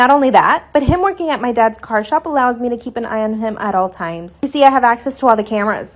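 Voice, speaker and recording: Talking at a very fast pace, a woman speaks in a high pitch. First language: Spanish. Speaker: social media storyteller. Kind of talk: storytime monologue.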